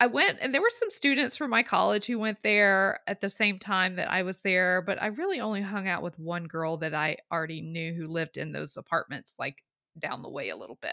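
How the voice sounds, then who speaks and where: With a bright, sharp tone and some vocal fry, a woman talks with lively intonation and hardly any pauses, her sound dry and close with no echo on a very clean recording with a silent background. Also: medium pitch for a woman, fairly quick pace. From US South. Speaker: podcast co-host. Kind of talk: casual chat.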